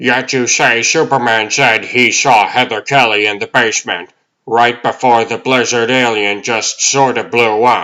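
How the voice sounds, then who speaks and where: Doing a put-on character voice, a man speaks at a medium pitch and a moderate pace. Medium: fan dub.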